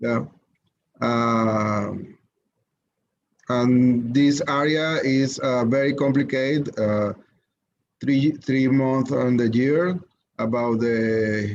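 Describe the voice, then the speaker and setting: In a Spanish accent, a man speaks very slowly at a medium pitch with long, frequent pauses, ordinary pitch variation and very even loudness. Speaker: webinar attendee. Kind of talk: casual chat. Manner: halting.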